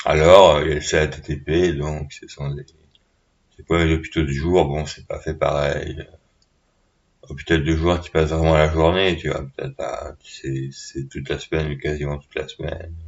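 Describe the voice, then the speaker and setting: In a very deep, low pitch, a man talks at a moderate pace with flat, monotone intonation and big swings in loudness. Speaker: vlogger. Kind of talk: casual monologue. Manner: halting.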